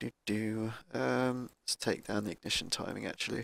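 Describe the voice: A man talks at a fairly low pitch with vocal fry. His tone is fairly bright, and his intonation is fairly even. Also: moderate pace.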